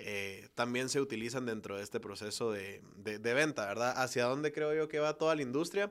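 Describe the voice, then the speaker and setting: A man's plain, everyday voice at a medium pitch, with ordinary pitch variation and a moderate pace, in a very clean recording with a silent background. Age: 20s. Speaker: virtual reality entrepreneur. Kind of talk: interview.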